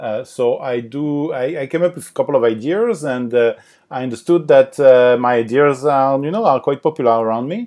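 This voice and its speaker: In a French accent, a man talks at a fairly quick pace with ordinary pitch variation. The background is quiet. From France (Paris). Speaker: board game designer. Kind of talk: podcast interview. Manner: halting, many fillers.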